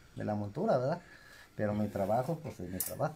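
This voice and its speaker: Lively intonation marks this man's somewhat breathy voice, which has a dark, mellow tone. There is noticeable background noise. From Mexico, Zacatecas. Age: 40s. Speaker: saddle maker. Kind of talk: casual interview. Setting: workshop. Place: workshop. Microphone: phone near.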